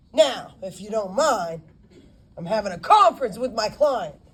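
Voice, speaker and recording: Using a put-on character voice, a woman with a fairly high pitch speaks at a moderate pace with a rumbling sound and very wide pitch swings. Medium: read story. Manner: grumbling, curt.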